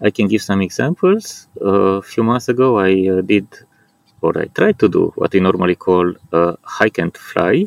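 Recorded in a dry, close sound with no echo, a man with a Romanian accent speaks at a fairly slow pace. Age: 40s. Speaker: paraglider and outdoor enthusiast. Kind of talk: interview. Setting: outdoors at a paragliding landing site. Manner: hesitant, with frequent fillers.

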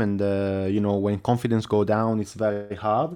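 A man with an Italian accent talks at a moderate pace in a fairly low pitch. His intonation is fairly even, and the background is quiet. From Italy. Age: 20s. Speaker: speedway rider. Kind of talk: interview. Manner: halting.

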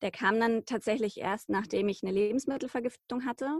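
A woman with an ordinary speaking voice, fairly quick in pace, ordinary in pitch variation, in a very clean recording with a silent background. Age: 30s. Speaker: journalist and podcaster. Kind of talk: interview about personal illness story.

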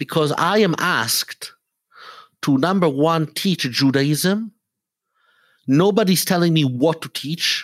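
In a very clean recording with a silent background, a man with an Italian accent speaks fairly slowly in a fairly high voice, his loudness very even and his pauses long and frequent. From Italy. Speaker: rabbi. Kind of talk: interview. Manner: halting.

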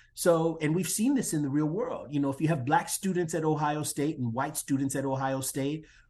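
A man with an American accent uses a normal speaking voice at a moderate pace. His pitch is fairly high, with ordinary variation. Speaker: social psychologist and diversity consultant. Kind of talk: interview.

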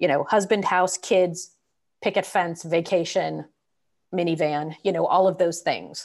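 Over a quiet background, a woman with an American accent talks at a fairly slow pace and fairly low pitch, with fairly even intonation and very even loudness. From California, Bay Area. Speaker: non-profit director. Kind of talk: interview about personal life story.

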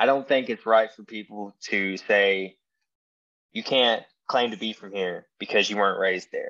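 With a Tennessee accent, a man talks at a moderate pace with ordinary pitch variation against a quiet background. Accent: Southern American (Tennessee). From US South, Tennessee. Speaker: podcast host appearing as guest. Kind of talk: casual interview chat.

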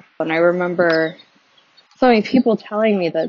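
An unremarkable speaking voice, this woman's is fairly low in pitch, with ordinary pitch variation and a fairly quick pace. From Texas. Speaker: listener. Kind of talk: recorded listener message.

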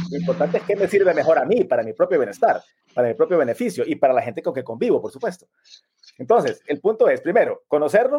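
The man's dark, mellow tone carries very wide pitch swings. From Honduras. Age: 40s. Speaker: live stream host. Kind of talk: live online interview. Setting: live video stream.

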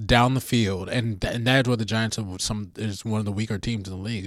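With a plain, everyday voice, a man talks at a fairly quick pace, fairly low in pitch and with fairly even intonation, in a very clean recording with a silent background. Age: 30s. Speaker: podcast producer and co-host. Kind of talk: casual sports chat.

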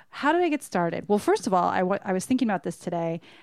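A woman is speaking. Her intonation is lively. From Southern California. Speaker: restaurant server and guest. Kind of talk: casual chat. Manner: soft-spoken.

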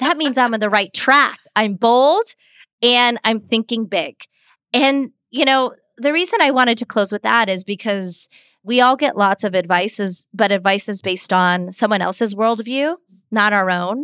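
A woman with a bright, sharp tone and ordinary pitch variation speaks at a moderate pace in a very clean recording with a silent background and a dry, close sound with no echo. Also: fairly high pitch for a woman. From US Pittsburgh, Pennsylvania. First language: Hindi. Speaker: communications expert and author. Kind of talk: interview discussion.

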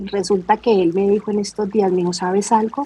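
This woman's pitch sits in the medium range. Her intonation is monotone and flat. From Colombia, Cali. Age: 40s. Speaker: army reserve officer and beauty pageant contestant. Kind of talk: interview conversation.

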